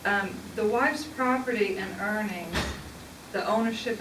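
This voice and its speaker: A woman with a Southern US accent speaks over noticeable background noise, with audible room echo. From southern Indiana, US. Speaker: public speaker on religion. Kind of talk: public talk.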